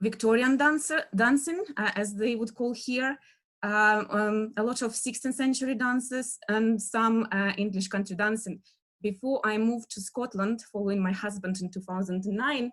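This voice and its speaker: A woman with a Russian accent speaks at a moderate pace, her fairly high pitch moving with ordinary variation. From Russia, Western Siberia near Novosibirsk. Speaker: dance historian lecturer. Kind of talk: lecture. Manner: halting, many fillers.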